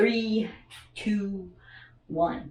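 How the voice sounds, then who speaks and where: Here a woman talks with an American accent. Her pitch is medium. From US West Coast, Oakland, California. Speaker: video essayist. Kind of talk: lecture. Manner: many filler words (uh, um).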